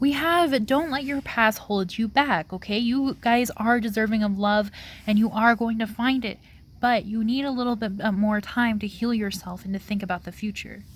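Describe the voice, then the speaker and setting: On a very clean recording with a silent background, a woman speaks at a moderate pace. Her voice is fairly high and somewhat breathy. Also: ordinary pitch variation. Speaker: tarot reader. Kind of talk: pick-a-card tarot reading to camera. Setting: outdoors. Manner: casual, filler-heavy.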